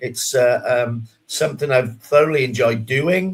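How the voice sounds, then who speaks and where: The speaker talks at a moderate pace with a Welsh accent and ordinary pitch variation. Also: man. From South Wales, near Swansea. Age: 60s. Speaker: business support advisor and podcast co-host. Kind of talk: casual podcast chat. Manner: hesitant, many fillers.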